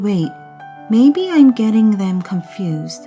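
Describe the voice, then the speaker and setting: A soft-spoken woman with a calm tone at a very slow pace, music in the background. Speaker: mother reading English books aloud to children. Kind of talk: audiobook read-aloud of a children's novel. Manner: soft-spoken, calm.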